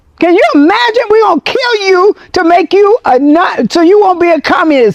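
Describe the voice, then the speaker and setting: At a moderate pace and with hardly any pauses, the speaker talks over noticeable background noise. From United States. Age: 80s+. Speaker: commentator. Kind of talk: casual chat. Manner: animated.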